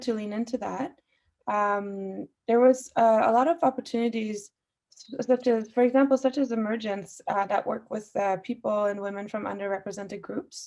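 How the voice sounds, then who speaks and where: Speaking in an Iranian accent at a moderate pace, a woman has a fairly high pitch with ordinary pitch variation. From Austria (Vienna), Iranian family, moved to Canada. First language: Farsi. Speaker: musician. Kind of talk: panel discussion. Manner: frequent fillers.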